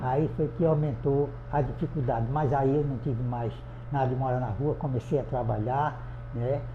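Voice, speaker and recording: Audible room echo surrounds a man speaking at a medium pitch. He keeps a moderate pace with fairly even intonation. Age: 80s+. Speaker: adult education student. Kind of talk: interview testimony.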